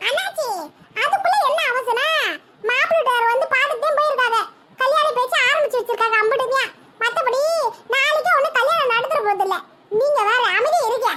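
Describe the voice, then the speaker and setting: This woman uses a cartoonish character voice that is squeaky and extremely high-pitched. Her loudness stays very even. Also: moderate pace, ordinary pitch variation. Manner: fast, sharp, cutting.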